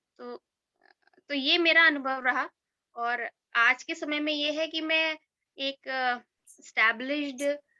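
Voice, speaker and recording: A woman speaks in a high, raised, projecting voice with a bright, sharp tone. Her loudness swings widely, long pauses come often, and the sound is dry and close with no echo. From Braj region, India (Agra/Mathura). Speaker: journalist and author. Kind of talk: personal testimony at online event. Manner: hesitant, many fillers.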